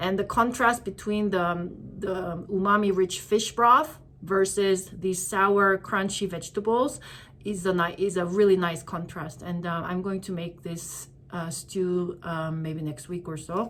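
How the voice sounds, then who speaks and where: Speaking fairly slowly in a Korean accent, a woman keeps a medium pitch with ordinary pitch variation. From South Korea. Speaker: vlogger. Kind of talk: casual shopping haul vlog. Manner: hesitant, many fillers.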